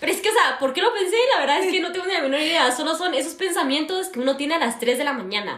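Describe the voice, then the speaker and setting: A woman's extremely high, lively voice at a very fast pace with hardly any pauses, plus audible room echo. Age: 20s. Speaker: university student and podcast co-host. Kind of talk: casual chat.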